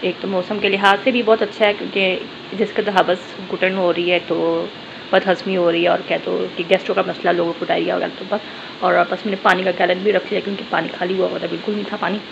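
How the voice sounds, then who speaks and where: Over noticeable background noise, a woman speaks at a fairly quick pace in a monotone, flat intonation. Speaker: home vlogger. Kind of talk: casual vlog chat. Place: kitchen. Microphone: phone near.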